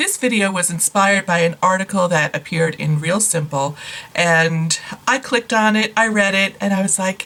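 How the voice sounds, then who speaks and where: Speaking at a fairly slow pace, a woman uses a normal speaking voice that is fairly low in pitch, with ordinary pitch variation. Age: 60s. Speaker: beauty vlogger. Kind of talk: tutorial. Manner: casual, conversational.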